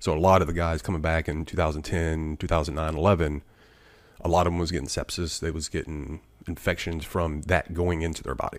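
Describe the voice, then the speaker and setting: A man with a very deep, low voice and a Southern US accent, fairly quick pace, monotone, flat intonation. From Alabama. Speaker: retired Marine, wounded veteran. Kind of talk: casual chat. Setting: studio.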